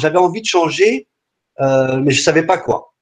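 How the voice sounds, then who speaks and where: A man at a fairly slow pace. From France, Paris region. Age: 40s. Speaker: entrepreneur. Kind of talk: webinar talk. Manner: halting, many fillers and repetitions.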